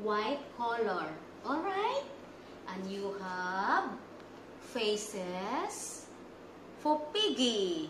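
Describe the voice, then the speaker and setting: A woman's very slow speech, broken by long, frequent pauses, with noticeable background noise. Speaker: preschool teacher. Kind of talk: tutorial. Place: classroom. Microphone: phone near.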